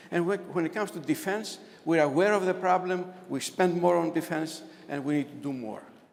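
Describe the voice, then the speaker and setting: Noticeable background noise and audible room echo accompany a man with a high pitch speaking at a fairly quick pace. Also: ordinary pitch variation. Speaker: economist presenter. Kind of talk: conference presentation. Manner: fast.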